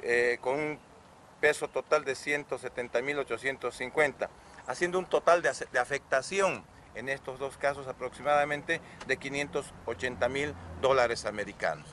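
The sound is dry with no echo, with light background noise. A man speaks at a very slow pace. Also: ordinary pitch variation. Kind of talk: press conference briefing. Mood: formal, matter-of-fact. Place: street. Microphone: handheld.

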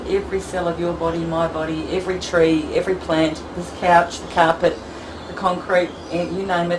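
A woman talks with a fairly low pitch and monotone, flat intonation. Noticeable background noise sits under her voice. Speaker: energy healing practitioner. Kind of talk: product demonstration talk. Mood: gentle, reassuring. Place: home room. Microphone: camera far.

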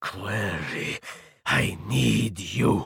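A man puts on a raspy character voice with a very deep, low pitch. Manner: intense, urgent.

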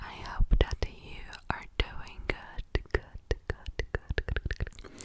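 A woman whispering at a very slow pace. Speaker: ASMR creator. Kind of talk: ASMR relaxation video. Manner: whispered, soft-spoken, repetitive. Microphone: studio mic.

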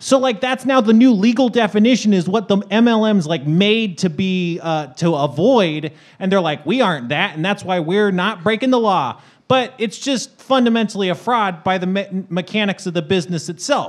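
Over a quiet background, a man talks at a moderate pace with very wide swings in pitch. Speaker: podcast panelist. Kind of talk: casual chat. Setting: stage with audience. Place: stage. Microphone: studio mic.

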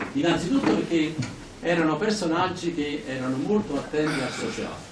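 At a fairly quick pace and fairly high pitch, a man speaks with lively intonation amid audible room echo and light background noise. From Italy. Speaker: professor and local anthropologist; professor. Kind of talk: anecdotal talk to audience. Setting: talk at a local association hall with audience. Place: hall. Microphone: camera far.

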